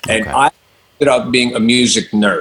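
A man with an American accent talks fairly quickly. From Long Island, New York. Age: 50s. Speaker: rock guitarist and music director. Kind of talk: interview.

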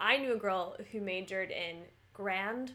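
A woman with an American accent, medium pitch, a bright, sharp tone, ordinary pitch variation and a fairly slow pace. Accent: American, trained actor. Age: 20s. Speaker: podcast co-host, actor. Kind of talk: casual chat.

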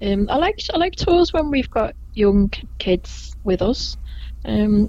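A woman speaks with a Liverpool accent. Noticeable background noise runs behind her. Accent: Liverpool (Scouse), fairly gentle. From Liverpool, England. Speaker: Beatles tour guide. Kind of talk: casual interview chat.

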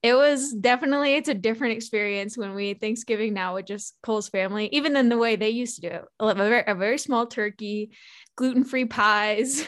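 Against a quiet background, a woman talks at a fairly quick pace in a fairly high pitch with ordinary pitch variation. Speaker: podcast host. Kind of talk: casual chat. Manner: fast.

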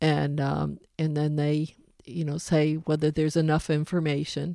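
Dark and mellow in tone, a woman's very deep, low voice moves at a moderate pace. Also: very clean recording, silent background. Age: 70s. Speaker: motorcycle club president. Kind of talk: casual interview.

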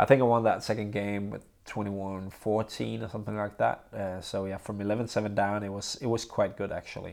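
In a Danish accent, a man speaks at a fairly quick pace with hardly any pauses, his fairly low voice in a monotone, flat intonation on a very clean recording with a silent background. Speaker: professional badminton player and podcast host. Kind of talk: casual solo podcast monologue. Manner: halting, many fillers.

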